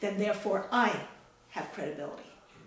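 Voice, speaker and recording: Audible room echo and noticeable background noise around a woman at medium pitch. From outside the US. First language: not English. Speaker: mother of a war veteran. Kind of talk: interview.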